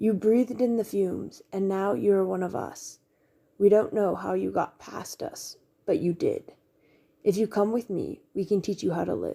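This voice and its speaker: Someone puts on a raspy character voice. The pace is moderate. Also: woman, medium pitch for a woman. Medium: read story. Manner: eerie, calm.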